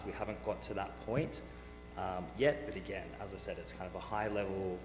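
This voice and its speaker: Man with an Australian accent, very deep, low pitch and very wide pitch swings at a fairly quick pace, with music in the background and audible room echo. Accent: Australian, noticeable. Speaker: renewable energy company manager. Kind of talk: presentation to county board. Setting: county board meeting. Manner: frequent fillers (um, uh).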